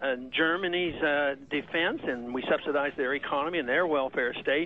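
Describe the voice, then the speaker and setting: Through noticeable background noise, a man speaks at a fairly high pitch with fairly even intonation. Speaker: politician, presidential candidate. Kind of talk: radio interview answer. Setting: phone line.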